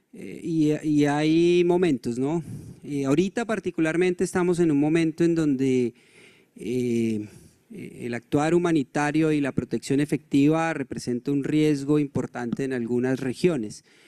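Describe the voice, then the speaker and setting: A man's fairly high, dark and mellow voice at a fairly slow pace, with ordinary pitch variation and a quiet background. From Colombia. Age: 40s. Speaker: NGO director; speaker. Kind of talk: conference presentation. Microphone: handheld.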